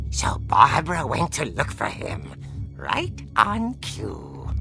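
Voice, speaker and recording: Clear music plays in the background as a put-on character voice speaks at a very slow pace. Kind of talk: horror comic narration. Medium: machinima. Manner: theatrical, relishing.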